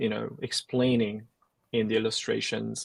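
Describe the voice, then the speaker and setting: Recorded with a dry, close sound and no echo, a man speaks with a British accent. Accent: British-sounding English. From South Korea (Seoul). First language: Korean. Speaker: Korean language teacher and YouTuber. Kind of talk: casual interview chat. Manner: hesitant, many fillers.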